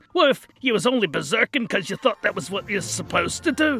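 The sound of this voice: A man's put-on character voice, high in pitch, very fast, with very wide pitch swings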